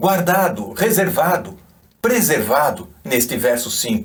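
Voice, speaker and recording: With a non-native accent, a man speaks at a high pitch with very wide pitch swings. Room echo is audible. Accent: foreign accent in Portuguese. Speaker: church member. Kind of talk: recorded reflection.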